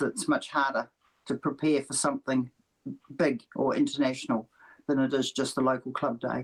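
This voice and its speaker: With a New Zealand accent, a woman speaks at a moderate pace in a very deep, low voice. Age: 70s. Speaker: para lawn bowler. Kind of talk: interview.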